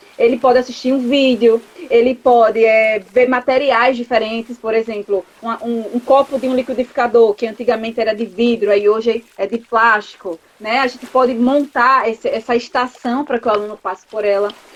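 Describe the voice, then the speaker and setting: A woman's fairly high voice, monotone and flat, with hardly any pauses over noticeable background noise. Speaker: chemistry professor and researcher. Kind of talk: interview. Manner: fast.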